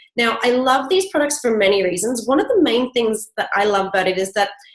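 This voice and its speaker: At a fairly quick pace, a woman's somewhat breathy voice sits at a fairly high pitch and moves through very wide pitch swings. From Canada. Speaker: network marketing presenter. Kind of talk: sales pitch. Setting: live online event.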